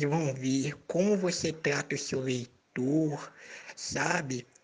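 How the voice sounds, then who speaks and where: This man talks at a very slow pace. His pitch variation is ordinary. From Brazil, Minas Gerais. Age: 20s. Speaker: fiction writer. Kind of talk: casual interview.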